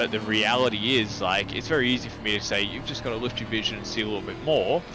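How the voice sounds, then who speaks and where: A man with an Australian accent, medium pitch and fairly even intonation, talking at a very fast pace amid noticeable background noise and audible room echo. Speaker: sim racing driving coach. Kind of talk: one-on-one coaching session. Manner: casual, filler-heavy.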